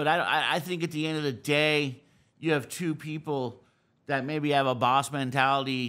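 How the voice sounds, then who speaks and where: A man's loud, bright, sharp voice at a moderate pace, fairly even in intonation, over a quiet background. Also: fairly high pitch for a man. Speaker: snowboard podcast host, interview guest; podcast guest. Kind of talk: casual interview conversation; interview answer. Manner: loud talker. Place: studio. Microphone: studio mic.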